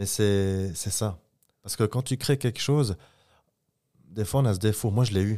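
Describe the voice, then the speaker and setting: On a very clean recording with a silent background, a man with a fairly low, dark and mellow voice speaks at a fairly slow pace with ordinary pitch variation and long, frequent pauses. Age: 20s. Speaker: clothing company co-founder. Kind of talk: casual interview.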